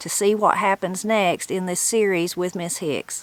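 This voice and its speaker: Delivered at a moderate pace in a southern Appalachian accent, the speech has fairly even intonation. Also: woman. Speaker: channel host and interviewer. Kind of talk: video introduction and interview.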